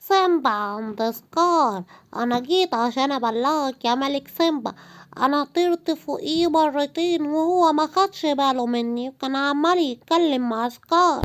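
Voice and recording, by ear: A high-pitched cartoonish character voice speaks at a fairly slow pace in a very clean recording with a silent background.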